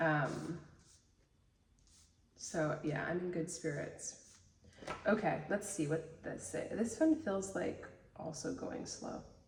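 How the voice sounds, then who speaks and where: Speaking very slowly with long, frequent pauses, a woman with a fairly low pitch uses ordinary pitch variation, and audible room echo surrounds her voice. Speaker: tarot reader and reiki healer. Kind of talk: tarot reading, reading card texts aloud.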